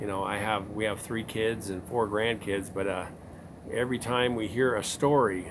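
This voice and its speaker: Speech comes at a moderate pace, with audible room echo. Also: man, fairly low pitch for a man, fairly even intonation. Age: 60s. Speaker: interviewer, channel owner. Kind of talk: interview.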